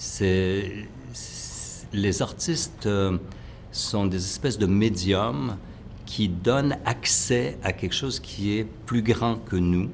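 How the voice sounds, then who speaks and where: A man speaks at a fairly low pitch and a very slow pace, with lively intonation. Audible room echo is present. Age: 60s. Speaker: choreographer. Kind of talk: interview. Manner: halting, many hesitations.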